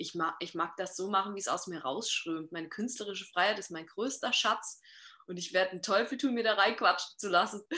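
A woman speaks at a fairly quick pace with a bright, sharp tone. Her pitch is medium with ordinary variation, and her loudness swings widely. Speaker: singer and songwriter. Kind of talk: casual interview.

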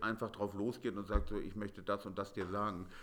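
A man's plain, everyday voice at a moderate pace with fairly even intonation. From Hamburg, northern Germany. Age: 40s. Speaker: painter. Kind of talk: interview.

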